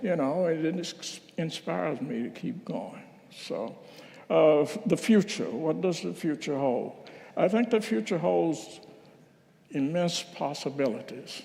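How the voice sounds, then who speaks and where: Audible room echo surrounds a man speaking at a fairly slow pace with lively intonation and vocal fry. His fairly high-pitched voice has a dark, mellow tone. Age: 80s+. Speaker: minister. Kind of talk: reflective talk at a church service. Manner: conversational, with hesitations.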